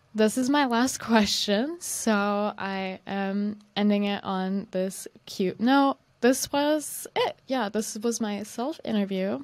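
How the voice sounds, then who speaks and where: This woman speaks at a very slow pace with hardly any pauses. Her pitch varies in an ordinary way. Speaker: marketing intern hosting a company video series. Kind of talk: solo self-interview monologue. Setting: recording at home on a webcam. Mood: cheerful, relaxed. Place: home room. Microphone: studio mic.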